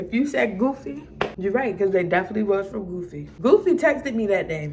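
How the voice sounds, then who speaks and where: Over noticeable background noise, a woman with an American accent speaks very fast at a medium pitch with very wide pitch swings. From Maryland. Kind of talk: casual storytime to camera.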